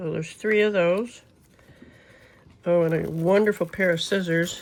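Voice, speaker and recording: The woman's voice is loud and fairly low-pitched, with fairly even intonation at a moderate pace. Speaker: crafting YouTuber. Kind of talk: product unboxing review. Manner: casual, chatty.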